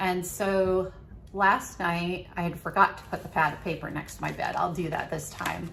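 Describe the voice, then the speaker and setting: Room echo is audible as a woman speaks. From New England. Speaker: video diarist, living kidney donor. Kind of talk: video diary. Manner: slow.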